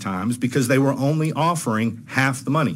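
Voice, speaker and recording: With audible room echo, a man with an American accent speaks at a medium pitch. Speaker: trial lawyer testifying at legislative hearing. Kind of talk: legislative committee testimony. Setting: committee hearing room. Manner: fast.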